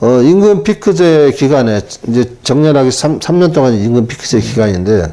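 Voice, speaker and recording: At a moderate pace, a man's medium-pitched voice shows very wide pitch swings while keeping very even loudness. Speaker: taxi driver, retired telecom employee. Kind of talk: interview.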